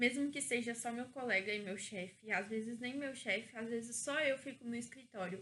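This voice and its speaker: Bright and sharp in tone, a woman's voice rings out at a high pitch. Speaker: vlogger. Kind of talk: casual vlog monologue. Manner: casual, self-correcting.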